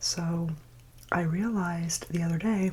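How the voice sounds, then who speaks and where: Soft-spoken and nervous in tone, a woman talks at a fairly low pitch with fairly even intonation. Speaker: ASMR content creator. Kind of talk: soft-spoken ASMR chit chat while eating. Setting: close-mic eating sounds. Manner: soft-spoken, quiet, a bit nervous.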